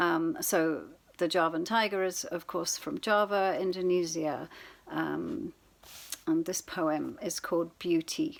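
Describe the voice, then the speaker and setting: At a very slow pace, a woman with a medium pitch swings very widely in tone, in a very clean recording with a silent background. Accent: British. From UK. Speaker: poet. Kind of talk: poetry reading with commentary. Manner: hesitant, many fillers.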